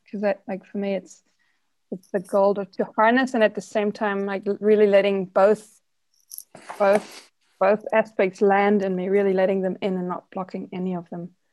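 A normal speaking voice from a woman, mid-range in pitch, fairly even in intonation, at a moderate speed. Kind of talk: group exercise discussion. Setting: video call.

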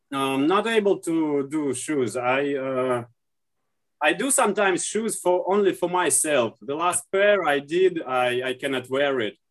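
Slow-ish in pace, a man with a Russian accent speaks at a fairly high pitch with lively intonation. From Russia, St. Petersburg. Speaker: leather and shoe repairer. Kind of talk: interview. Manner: halting.

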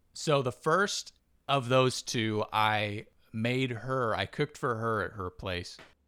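In a very clean recording with a silent background, a man speaks very slowly at a medium pitch with a bright, sharp tone. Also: ordinary pitch variation. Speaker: podcast host. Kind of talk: casual chat.

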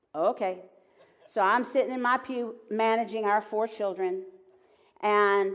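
Medium pitch from a woman in a Southern US accent. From US South. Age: 70s. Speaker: Enneagram teacher and author. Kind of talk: live onstage conversation. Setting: stage with audience.

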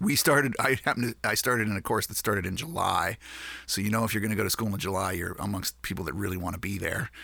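Very clean recording and silent background, a man with a Maritime Canadian accent, fairly low pitch, ordinary pitch variation, a bright, sharp tone and a very fast pace. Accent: Canadian (Maritimes). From Nova Scotia, Canada. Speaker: musician. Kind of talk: interview. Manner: halting.

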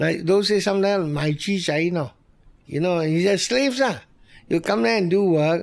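A man speaks with a Malaysian accent. His pace is moderate and his intonation lively. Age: 70s. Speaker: restaurant owner. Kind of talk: interview.

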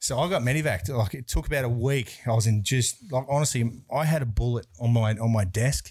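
A somewhat breathy voice with an Australian accent, a fairly quick pace and ordinary pitch variation. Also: man, medium pitch for a man. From Brisbane, Australia. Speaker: bodyguard and security business owner. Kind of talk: casual interview chat.

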